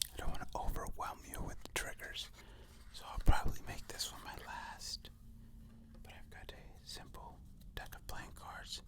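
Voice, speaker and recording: Whispering at a moderate pace, a man leaves long, frequent pauses, and his loudness swings widely. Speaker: ASMR creator's father, guest. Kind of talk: casual conversation.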